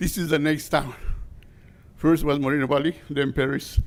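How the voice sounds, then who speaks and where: Speaking at a fairly quick pace, a man with a fairly high pitch and vocal fry keeps his intonation fairly even. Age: 60s. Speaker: construction worker at public comment. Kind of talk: public comment speech. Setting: city council meeting. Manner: impassioned.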